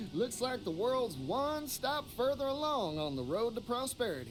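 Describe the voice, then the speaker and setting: In a put-on character voice, a man drawls at a moderate pace with an extremely high pitch and very even loudness, clear background noise behind him. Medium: video game. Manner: folksy, drawling.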